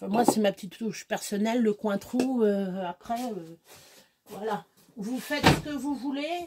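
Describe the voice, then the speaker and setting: A woman with a fairly high pitch speaks at a fairly slow pace, her intonation lively. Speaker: home cook vlogger. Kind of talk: cooking tutorial. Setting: home kitchen. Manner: casual, hesitant.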